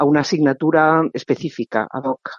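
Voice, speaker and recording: A woman with a very deep, low voice talks at a moderate pace. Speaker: novelist and professor. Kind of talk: interview.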